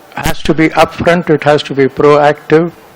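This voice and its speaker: Through noticeable background noise, a man can be heard talking at a moderate pace. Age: 80s+. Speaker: retired senior civil servant. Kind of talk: speech at a meeting.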